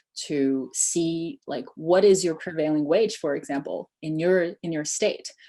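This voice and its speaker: Speaking in a Chinese accent, the voice has a dark, mellow tone and a moderate pace. Pitch variation is ordinary, and the background is quiet. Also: woman. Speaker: immigration tech startup founder. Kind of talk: webinar Q&A.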